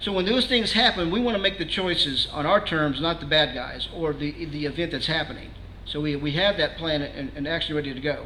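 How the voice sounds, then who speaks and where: A man with a fairly high voice talks fairly quickly, with hardly any pauses. His pitch varies in an ordinary way over noticeable background noise. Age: 60s. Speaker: security trainer, guest speaker. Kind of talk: presentation to a meeting audience. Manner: conversational, frequent filler words and restarts.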